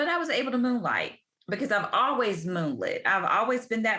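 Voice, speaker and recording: This woman has a Southern US accent and a bright, sharp tone. She talks at a fairly quick pace. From US South, Tuscaloosa, Alabama. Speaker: ICU physician and career consultant. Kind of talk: podcast interview.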